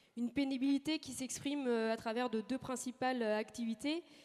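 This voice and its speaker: With fairly even intonation, a woman talks in a high voice. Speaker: agricultural research station manager. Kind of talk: conference talk. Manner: fast; hesitant, frequent fillers.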